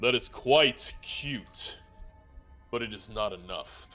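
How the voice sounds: Using a put-on character voice with a rumbling quality, a man speaks at medium pitch and a fairly slow pace while faint music plays in the background.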